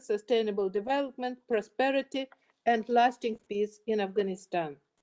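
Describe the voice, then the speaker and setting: This woman's voice has a dark, mellow tone and ordinary pitch variation. She speaks with a Russian accent in a dry, close sound with no echo. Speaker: UN official. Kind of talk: formal opening speech. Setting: online event. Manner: formal.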